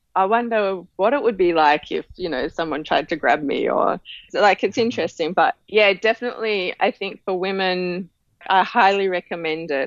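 A woman talks at a moderate pace with an Australian accent. Her pitch sits in the middle range and varies in an ordinary way. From Tasmania, Australia. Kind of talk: interview.

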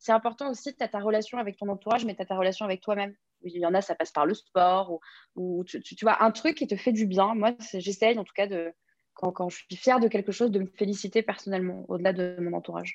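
A woman talks at a very fast pace. The sound is dry and close with no echo, against a quiet background. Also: medium pitch for a woman, ordinary pitch variation, big swings in loudness. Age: 20s. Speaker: press agent. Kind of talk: interview.

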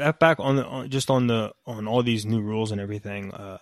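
Here a man with an American accent talks with a fairly low pitch and fairly even intonation. The sound is dry and close, with no echo. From both US and Europe/UK. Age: 30s. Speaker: football coach and podcast co-host. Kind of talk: casual chat. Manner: halting, many repeated words.

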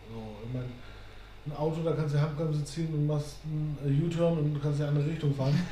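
A man with a fairly high pitch and monotone, flat intonation speaks very fast yet with long, frequent pauses, amid audible room echo and noticeable background noise. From northern Germany, near Hamburg. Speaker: podcast co-host. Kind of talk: casual chat.

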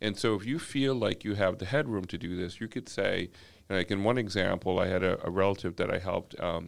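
A man's unremarkable speaking voice, fairly low and fairly quick, on a very clean recording with a silent background. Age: 50s. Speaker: corporate executive and community equity advocate. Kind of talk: casual podcast interview.

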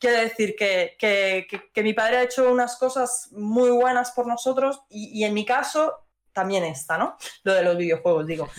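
This woman has an unremarkable speaking voice, with a moderate pace and ordinary pitch variation. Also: fairly high pitch for a woman. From Madrid, Spain. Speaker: indie game studio CEO. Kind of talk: interview.

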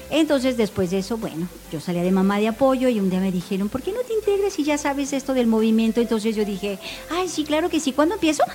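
With music in the background, a woman talks very fast in a high voice, her pitch swinging very widely. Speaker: scout leader. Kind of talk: casual chat.

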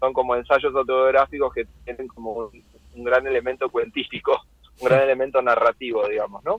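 Speaking at a fairly quick pace, a man with a medium-pitched voice keeps his intonation fairly even while his loudness swings widely. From Argentina, Lanús (Greater Buenos Aires). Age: 40s. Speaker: writer and translator. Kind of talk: interview. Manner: halting, many repetitions.

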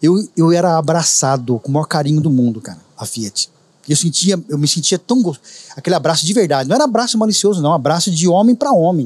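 His intonation is lively. The man speaks at a very rapid clip. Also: fairly high pitch for a man. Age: 50s. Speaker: juice street vendor, former bank employee. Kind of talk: casual interview chat. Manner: talkative.

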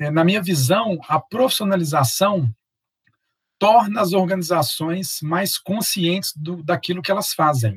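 A high male voice at a fairly slow pace with ordinary pitch variation. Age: 40s. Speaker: project management instructor and consultant. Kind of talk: interview.

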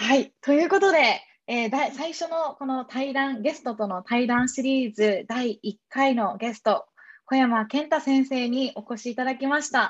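A woman speaks at a high pitch and fairly slow pace, with ordinary pitch variation. Her loudness swings widely against a quiet background. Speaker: podcast host. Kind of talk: interview. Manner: hesitant.

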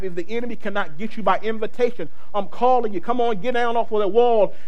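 The speech goes at a very fast pace over noticeable background noise. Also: man. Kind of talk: sermon. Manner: animated, call-and-response preaching, urging the congregation to shout amen; fervent and emphatic, repeating phrases for emphasis.

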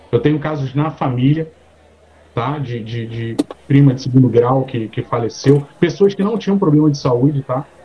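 Against noticeable background noise, a medium-pitched man speaks at a moderate pace with ordinary pitch variation. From Rio de Janeiro. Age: 40s. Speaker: podcast co-host. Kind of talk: casual chat.

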